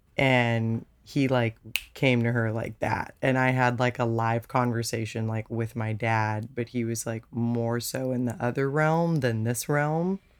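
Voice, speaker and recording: Noticeable background noise sits behind a fairly slow delivery that has hardly any pauses. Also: woman, very deep, low pitch for a woman. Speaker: singer-songwriter guest. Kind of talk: casual interview chat.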